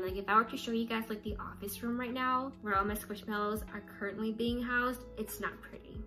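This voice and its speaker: Faint music sits in the background. Over it, a woman talks with ordinary pitch variation. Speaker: vlogger. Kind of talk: casual vlog chat. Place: home room. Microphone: phone near.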